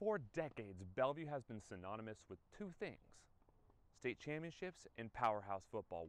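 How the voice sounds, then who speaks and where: Here is an ordinary speaking voice. It moves at a moderate speed. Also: man. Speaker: sports broadcaster. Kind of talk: sports news anchor desk read.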